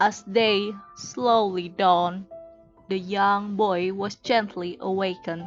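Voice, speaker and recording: Music in the background behind a woman speaking at a very slow pace. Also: medium pitch for a woman, fairly even intonation. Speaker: amateur narrator and hobbyist voice actor. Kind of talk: dramatic audiobook reading, storytelling narration.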